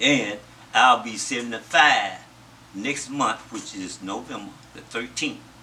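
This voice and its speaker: A man at a fairly slow pace with big swings in loudness over noticeable background noise. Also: medium pitch for a man, ordinary pitch variation. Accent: American. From US South. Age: 70s. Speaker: interviewee recounting his life. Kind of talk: interview.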